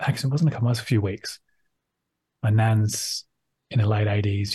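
In a quiet background, a man with an Australian accent speaks with a fairly low, somewhat breathy voice. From Sydney, Australia. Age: 30s. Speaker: ex-Scientologist academic. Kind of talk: casual interview.

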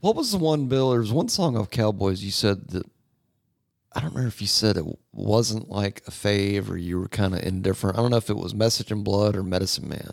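A man with an unremarkable speaking voice talks at a fairly quick pace, his pitch fairly low with ordinary variation. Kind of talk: casual chat.

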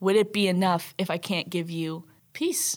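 A woman at a medium pitch on a very clean recording with a silent background. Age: 20s. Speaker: journalism student. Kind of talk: casual chat. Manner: animated.

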